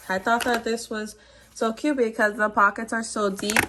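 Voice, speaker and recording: Over noticeable background noise, a woman speaks in a fairly high voice. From Miami, Florida (moved from New York at nine). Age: 20s. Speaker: beauty vlogger. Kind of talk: tutorial. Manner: casual, filler-heavy.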